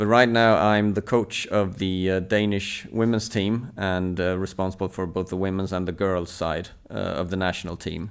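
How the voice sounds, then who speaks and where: A man with a Swedish accent and a very deep, low pitch, at a moderate pace with hardly any pauses, on a very clean recording with a silent background. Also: fairly even intonation. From southern Sweden. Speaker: table tennis coach. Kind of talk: interview.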